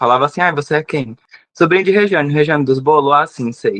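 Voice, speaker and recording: A man with a plain, everyday voice speaks in a fairly high pitch with ordinary pitch variation, the sound dry and close with no echo. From Brazilian Northeast, Rio Grande do Norte / Ceará border. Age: 20s. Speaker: pastry chef. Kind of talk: interview conversation.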